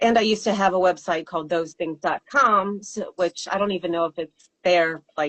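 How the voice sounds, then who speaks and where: A woman talks with ordinary pitch variation and hardly any pauses. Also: moderate pace. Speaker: singer-songwriter. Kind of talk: interview. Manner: hesitant, many fillers.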